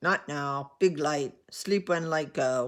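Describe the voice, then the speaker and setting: On a very clean recording with a silent background, a man does a put-on character voice at a very slow pace and a fairly high pitch. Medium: read story. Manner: clipped, terse, gruff.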